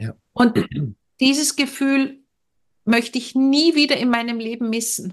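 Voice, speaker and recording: A woman with a high pitch speaks at a fairly slow pace, leaving long, frequent pauses. Her intonation is fairly even. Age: 50s. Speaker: family counsellor and former teacher. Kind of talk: casual chat.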